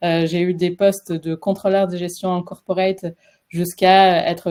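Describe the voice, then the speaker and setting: Dark and mellow in tone, a woman's fairly low voice moves at a moderate pace. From French Basque Country. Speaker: career transition coach. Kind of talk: webinar presentation. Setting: live webinar. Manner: hesitant, many fillers.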